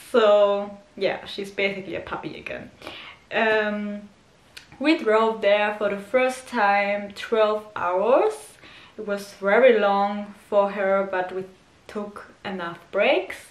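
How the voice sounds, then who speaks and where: A woman's medium-pitched voice with a German accent, very slow pace, fairly even intonation and big swings in loudness, plus audible room echo and noticeable background noise. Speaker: dog owner vlogger. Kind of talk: casual vlog talk. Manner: halting, many fillers.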